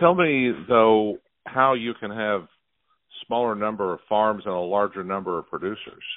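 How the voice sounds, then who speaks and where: A man with an unremarkable speaking voice talks at a moderate pace, his fairly low pitch showing ordinary pitch variation. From Oklahoma. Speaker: radio host. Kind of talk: interview.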